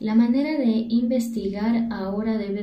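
A woman talks fairly slowly, and audible room echo follows her voice. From Ecuador. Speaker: university teacher. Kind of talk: monologue talk on education.

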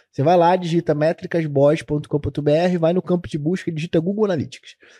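The man's voice is fairly high in pitch yet dark and mellow in tone, with fairly even intonation. The recording sounds dry and close, without echo. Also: very even loudness. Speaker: podcast co-host, digital analytics educator. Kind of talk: casual chat about analytics, answering questions. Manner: casual.

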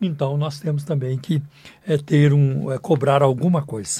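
A man's fairly high, somewhat breathy voice carries a dark, mellow tone and fairly even intonation. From Brazil, southern Minas Gerais. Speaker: pastor and radio host. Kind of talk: sermon. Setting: radio studio.

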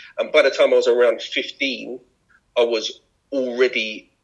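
The speaker is a man. He talks with a south London accent. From London (Brixton). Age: 40s. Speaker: former MC, creative company founder. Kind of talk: casual interview. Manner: hesitant, many fillers.

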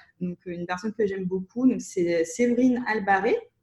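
Ordinary pitch variation in a woman's somewhat breathy voice. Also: very clean recording, silent background. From Russia (Soviet Union). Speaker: entrepreneur. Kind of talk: interview. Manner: hesitant, many fillers.

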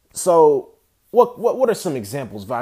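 The background is silent and the recording very clean. A man talks. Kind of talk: solo monologue. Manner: calm, steady; laughs often.

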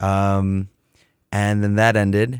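On a very clean recording with a silent background, a man with an American accent speaks at a very slow pace. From US Midwest, Cleveland, Ohio. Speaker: musician and graphic designer. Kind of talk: casual chat. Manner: animated.

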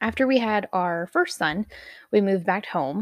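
A woman talks at a moderate pace. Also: dry, close sound with no echo. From Texas. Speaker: podcast host. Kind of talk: personal testimony. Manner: casual.

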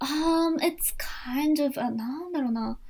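In a Japanese accent, a woman speaks at a very fast pace with ordinary pitch variation. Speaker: psychiatrist. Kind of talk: casual bilingual discussion. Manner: hesitant, many fillers.

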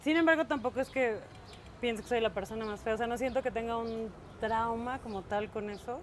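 This woman has a fairly high pitch and ordinary pitch variation. She talks at a fairly quick pace, broken by long, frequent pauses. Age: 40s. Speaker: podcast co-host. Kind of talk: casual chat.

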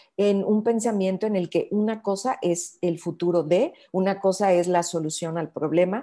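A woman with a Mexican accent, medium pitch, ordinary pitch variation and a dark, mellow tone. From Mexico, Bajío region. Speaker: bio-artist and researcher. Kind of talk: interview conversation.

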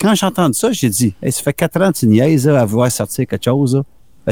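In a normal speaking voice, the speaker keeps a moderate pace with lively intonation, and the sound is dry and close with no echo. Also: man. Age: 50s. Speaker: musician. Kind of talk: casual interview.

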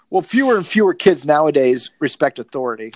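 High in pitch, a man with an American accent speaks with lively intonation. The sound is dry and close with no echo. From US South, Georgia. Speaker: podcast host, video store movie fan. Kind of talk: casual chat. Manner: joking, profane.

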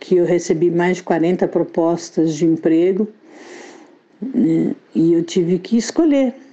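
This woman's pitch sits fairly low, with ordinary pitch variation, and her pace is very slow. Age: 60s. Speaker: copywriter and author. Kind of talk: interview.

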